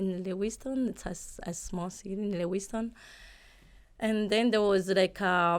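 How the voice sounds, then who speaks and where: In a very clean recording with a silent background, a woman at a medium pitch talks at a fairly slow pace with fairly even intonation. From Burundi. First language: Kirundi. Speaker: real estate agent. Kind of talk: interview. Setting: podcast. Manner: halting.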